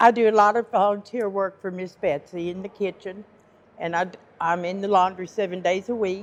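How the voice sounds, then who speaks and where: With a Southern US accent, a woman at medium pitch talks at a fairly quick pace with fairly even intonation and big swings in loudness. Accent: US South. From Arkansas (Fort Smith). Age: 60s. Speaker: homeless shelter resident. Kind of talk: interview.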